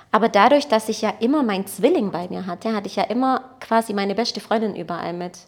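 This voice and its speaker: The speech races along at a very fast pace, with big swings in loudness and ordinary pitch variation. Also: woman, fairly high pitch for a woman. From Baden-Württemberg (Blaubeuren near Ulm), born in Portugal. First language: Portuguese (speaking German). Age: 30s. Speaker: photographer and entrepreneur. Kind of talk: casual interview conversation.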